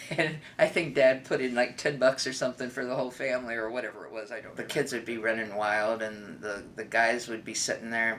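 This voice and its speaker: A man speaks with fairly even intonation, and noticeable background noise is present. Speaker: family history interviewee. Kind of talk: personal reminiscence. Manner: hesitant, with fillers.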